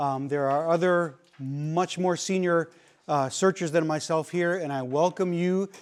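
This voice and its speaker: On a very clean recording with a silent background, a man talks at a moderate pace, fairly high in pitch, with ordinary pitch variation. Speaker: search and rescue instructor. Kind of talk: lecture. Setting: classroom. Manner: loud.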